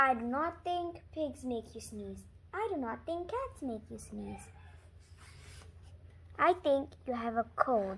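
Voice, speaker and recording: Using a put-on character voice, a woman speaks fairly slowly at a high pitch with long, frequent pauses over clear background noise. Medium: read story. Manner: calm, matter-of-fact.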